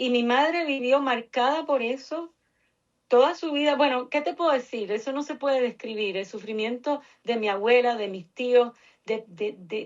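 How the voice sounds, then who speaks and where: A woman speaks in a high pitch at a moderate pace, with ordinary pitch variation. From Puerto Rico, Cuban family. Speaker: researcher, nonprofit director. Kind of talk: interview.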